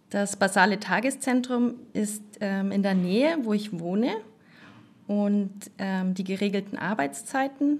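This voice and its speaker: A somewhat breathy woman's voice at medium pitch, fairly slow in pace, with ordinary pitch variation. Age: 30s. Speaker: nurse. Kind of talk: interview.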